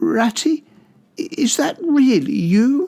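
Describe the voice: A put-on character voice, pitched high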